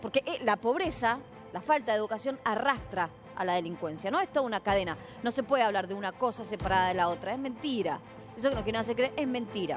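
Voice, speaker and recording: Over clear music in the background, a woman with a fairly high pitch races at a very fast pace with very wide pitch swings in a dry sound with no echo. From Mendoza, Argentina. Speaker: TV news anchor. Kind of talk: live TV news commentary. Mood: indignant, emphatic. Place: studio.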